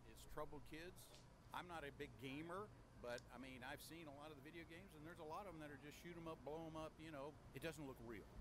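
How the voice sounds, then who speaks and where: A man's fairly high voice with vocal fry, fairly even intonation and a very fast pace, in audible room echo. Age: 60s. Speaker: interviewee at gun conference. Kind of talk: street interview.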